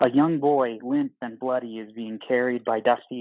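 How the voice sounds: Ordinary pitch movement in a natural reading voice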